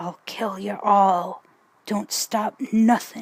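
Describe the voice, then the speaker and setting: Quiet and hissing, a woman's put-on character voice moves at a very slow pace at medium pitch. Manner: hissing, quiet, impassioned.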